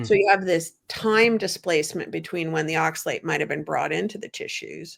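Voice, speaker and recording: This woman has an ordinary speaking voice, pitched fairly low, with ordinary pitch variation. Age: 60s. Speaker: low oxalate diet coach. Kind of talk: interview answer.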